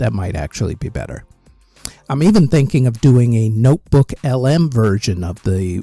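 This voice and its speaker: A man speaks at a moderate pace with lively intonation and a dark, mellow, somewhat breathy tone. The sound is dry and close, with no echo. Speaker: music history podcaster. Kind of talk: casual channel update monologue.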